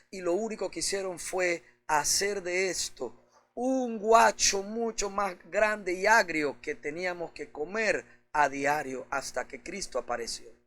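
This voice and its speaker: A man talks at a very slow pace in a high, bright, sharp voice. His loudness swings widely. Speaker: pastor. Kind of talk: sermon preaching.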